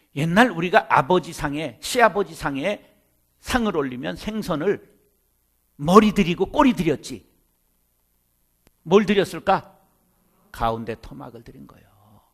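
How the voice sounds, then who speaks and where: Against a quiet background, a man with a high-pitched voice speaks at a fairly slow pace. His loudness swings widely, and he takes long, frequent pauses. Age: 50s. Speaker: pastor. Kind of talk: seminar lecture. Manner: animated.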